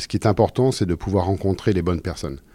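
A man's very deep, low voice with a dark, mellow tone and lively intonation, on a very clean recording with a silent background. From France, Loiret (Orléans, Sologne). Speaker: two-star chef. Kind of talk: interview. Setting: restaurant in a Paris hotel. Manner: calm; hesitant, repeats words.

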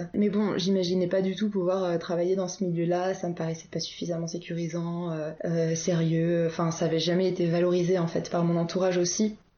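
A woman's fairly low, monotone voice at a fairly quick pace with hardly any pauses, over noticeable background noise. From Paris region, France. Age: 20s. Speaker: naturopath and wellness coach. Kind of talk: interview conversation. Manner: hesitant, many filler sounds.

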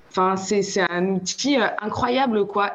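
Over noticeable background noise, a woman talks fairly slowly at a medium pitch with ordinary pitch variation. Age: 30s. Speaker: palmist, sound therapist, café co-owner. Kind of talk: casual chat. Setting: video call.

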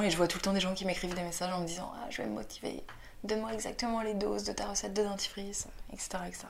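The speech moves at a fairly quick pace, and audible room echo surrounds it. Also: woman. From Paris suburbs, France. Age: 20s. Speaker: actress and comedian. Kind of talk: casual interview chat.

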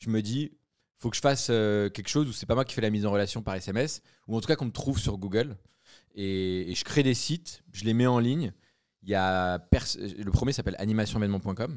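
A man talks at a fairly quick pace with lively intonation. His is a plain, everyday voice. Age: 20s. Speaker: entrepreneur. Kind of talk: casual interview.

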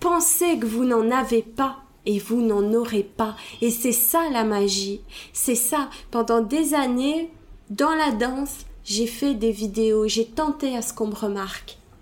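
At a very slow pace, a woman talks at a fairly high pitch with ordinary pitch variation. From Belgium. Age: 30s. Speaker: hip-hop dancer and speaker. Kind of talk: interview. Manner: hesitant, many fillers.

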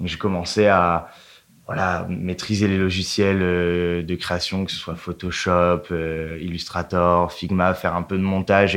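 A very clean recording with a silent background, holding a man's very deep, low voice. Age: 20s. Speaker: brand content manager. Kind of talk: casual interview chat. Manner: casual, hesitant with repetitions.

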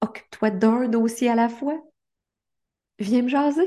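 A woman with a Quebec accent speaks very slowly in a dark, mellow tone. Her pitch is fairly high, with ordinary variation. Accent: Québécois French. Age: 50s. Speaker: life coach and podcast host. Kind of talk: motivational monologue.

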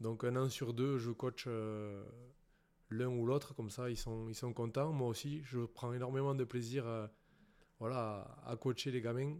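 Speaking at a very slow pace, a man holds a medium pitch with fairly even intonation. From southwest France, Béarn (Pyrénées-Atlantiques). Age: 30s. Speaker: professional rugby player. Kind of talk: casual interview. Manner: hesitant, many fillers and repetitions.

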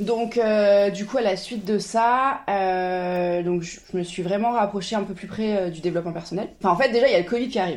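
Against a quiet background, a woman with a normal speaking voice talks at a medium pitch and moderate pace, with ordinary pitch variation and hardly any pauses. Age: 30s. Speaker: travel agency founder. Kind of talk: casual interview.

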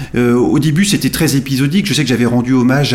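A man of medium pitch speaks against noticeable background noise. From France, Nantes. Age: 40s. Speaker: journalist and football fan. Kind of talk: interview. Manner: hesitant with fillers and repetitions.

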